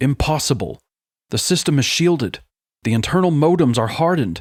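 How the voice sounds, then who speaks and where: Using a put-on character voice, a man with a fairly high pitch speaks at a fairly quick pace with lively intonation and very even loudness on a very clean recording with a silent background. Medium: read story. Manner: tense, clipped.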